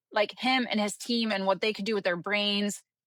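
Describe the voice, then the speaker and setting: A fairly high-pitched woman at a fairly quick pace, in a dry, close sound with no echo. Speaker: business consultant and coach. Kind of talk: podcast interview. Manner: fast.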